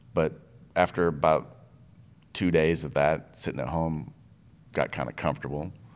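A man with a very deep, low voice speaks at a moderate pace with ordinary pitch variation and some vocal fry. He leaves long, frequent pauses, and the recording is very clean with a silent background. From Minnesota (upper Midwest), born in Iowa. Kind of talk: casual interview chat.

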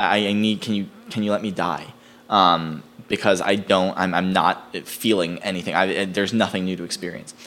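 A man with an American accent speaks in a normal speaking voice at a moderate pace. His pitch is fairly low and his intonation fairly even. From US East Coast. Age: 20s. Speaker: screenwriter. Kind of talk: casual chat.

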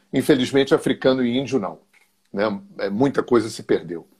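Speaking at a moderate pace, a man uses an unremarkable speaking voice pitched at medium. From Rio de Janeiro, Brazil. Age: 60s. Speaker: therapist and energy alignment teacher. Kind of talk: interview on a live stream.

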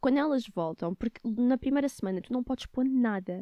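The voice belongs to a woman with a fairly high pitch. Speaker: podcast host. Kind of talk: casual chat.

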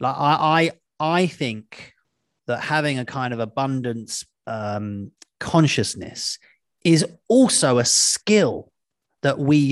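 Against a quiet background, a man speaks with lively intonation. He leaves long, frequent pauses. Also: dry, close sound with no echo. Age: 40s. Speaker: podcast host and author. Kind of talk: casual interview chat. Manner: chatty, jokey, self-deprecating.

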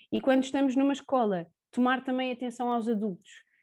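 On a very clean recording with a silent background, a woman speaks in a Lisbon accent. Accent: European Portuguese, Lisbon area. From Portugal, Sintra. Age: 20s. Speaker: preschool teacher. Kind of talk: interview.

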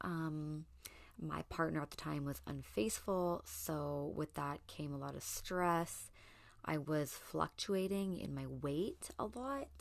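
A woman speaking very slowly against a quiet background. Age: 30s. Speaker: podcast host. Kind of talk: casual monologue.

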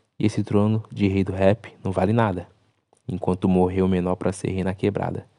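Against a quiet background, a man with a dark, mellow tone and fairly low pitch speaks fairly slowly with fairly even intonation. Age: 20s. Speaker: podcast host and content creator. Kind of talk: solo podcast monologue analyzing song lyrics. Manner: casual, colloquial.

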